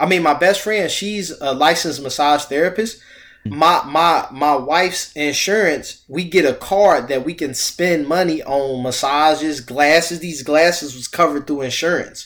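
A man with an ordinary speaking voice talks at a moderate pace with hardly any pauses. His pitch is fairly high, with ordinary pitch variation. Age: 30s. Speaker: financial coach. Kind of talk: casual chat.

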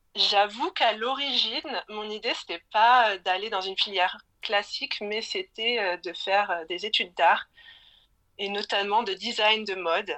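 A woman's fairly high voice, bright and sharp in tone, with ordinary pitch variation and a fairly slow pace. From Brittany, France. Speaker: illustrator. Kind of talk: casual interview.

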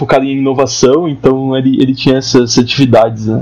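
A man talks at a fairly quick pace in a normal speaking voice with a medium pitch. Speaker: university student, podcast host. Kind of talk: casual chat.

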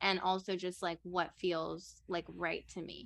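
In an American accent, a woman talks at a moderate pace with a medium pitch and a bright, sharp tone over a quiet background. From New Orleans, US South. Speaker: podcast co-host, graduate student. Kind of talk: casual chat.

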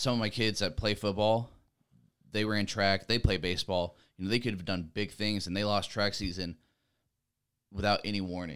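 With an unremarkable speaking voice, a man talks at a fairly quick pace with a fairly low pitch and fairly even intonation. The recording is very clean, the background silent. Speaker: college student and former athlete turned coach. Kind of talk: casual chat.

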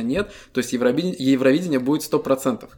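At a fairly quick pace, a man speaks in a dark, mellow tone with fairly even intonation. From Estonia. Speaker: podcast co-host. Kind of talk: casual chat.

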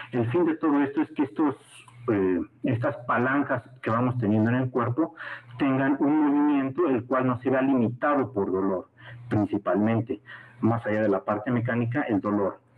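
A man speaks at a moderate pace in a medium pitch, with ordinary pitch variation and very even loudness. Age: 30s. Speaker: sports medicine doctor. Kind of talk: lecture. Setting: video call. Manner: halting.

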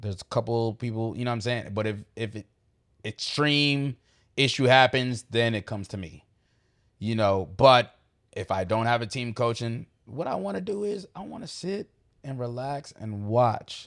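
On a very clean recording with a silent background, a man with an American accent speaks at a moderate pace at a medium pitch, with ordinary pitch variation, in an ordinary speaking voice. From New York. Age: 30s. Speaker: youth basketball tournament organizer. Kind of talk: casual interview chat.

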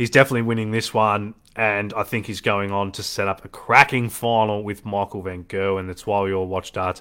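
In an Australian accent, a man talks at a fairly quick pace with hardly any pauses and a fairly low pitch. The recording is very clean, with a silent background. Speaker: darts podcast host. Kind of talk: casual solo commentary. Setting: live stream. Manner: animated.

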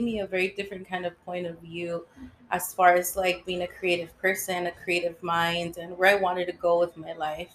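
American-accented woman, fairly low pitch, moderate pace. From California (San Francisco, Los Angeles). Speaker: cosmetologist and beauty business owner. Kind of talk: casual interview.

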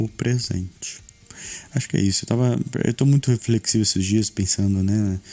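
Recorded with a dry, close sound and no echo, a man talks at a moderate pace with ordinary pitch variation. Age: 30s. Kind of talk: casual chat.

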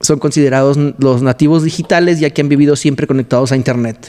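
A man with a Mexican accent and a fairly high pitch speaks fairly quickly, keeping his intonation fairly even. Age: 30s. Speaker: podcast host. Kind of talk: casual chat.

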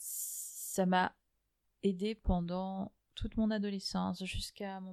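A woman's medium-pitched, monotone, flat delivery in a very clean recording with a silent background. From Algeria, Germany and Madagascar. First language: Malagasy (speaking French). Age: 30s. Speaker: fashion strategy consultant. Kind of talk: interview. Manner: hesitant, many fillers.

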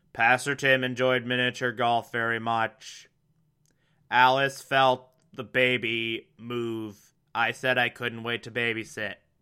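A man puts on a robotic character voice at a medium pitch, speaking at a fairly slow pace with flat, monotone intonation on a very clean recording with a silent background. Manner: robotic, monotone.

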